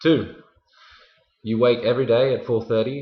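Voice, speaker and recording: A man speaks with an Australian accent at a moderate pace and medium pitch. His voice is somewhat breathy, with fairly even intonation. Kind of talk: storytelling for language learners.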